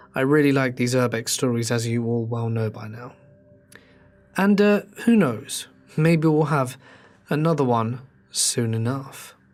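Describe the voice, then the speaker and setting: Music plays in the background as a man at a medium pitch speaks at a moderate pace, with ordinary pitch variation and long, frequent pauses. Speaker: horror story narrator. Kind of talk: scripted narration; casual outro to viewers.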